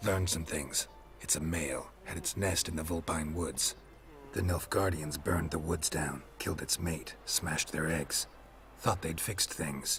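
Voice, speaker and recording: Someone performs a put-on character voice against clear background noise. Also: man, very deep, low pitch for a man, moderate pace. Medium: machinima. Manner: terse, deadpan.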